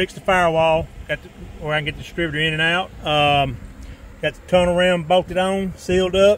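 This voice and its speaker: A high-pitched man in a monotone, flat intonation, in a dry sound with no echo and light background noise. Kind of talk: casual vlog chat. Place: garage. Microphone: phone near.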